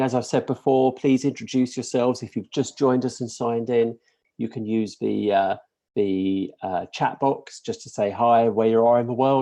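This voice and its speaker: A man in a British accent, medium-pitched, with a dark, mellow tone and ordinary pitch variation. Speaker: course leader. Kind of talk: webinar presentation. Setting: live webinar and stream. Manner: hesitant, many fillers.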